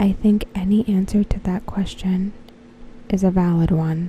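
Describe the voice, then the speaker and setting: Soft-spoken and relaxed in tone, the speaker talks at a fairly slow pace. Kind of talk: soft-spoken ASMR talk to camera, reading fan predictions. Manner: soft-spoken, relaxed.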